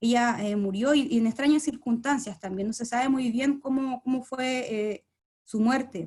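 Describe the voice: A woman speaks at a moderate pace with a fairly high pitch. Her tone is dark and mellow, with ordinary pitch variation.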